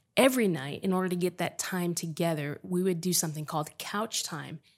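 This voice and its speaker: Here a woman has an ordinary speaking voice at a fairly low pitch, with ordinary pitch variation. The recording is very clean, with a silent background. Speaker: podcast host. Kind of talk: casual chat.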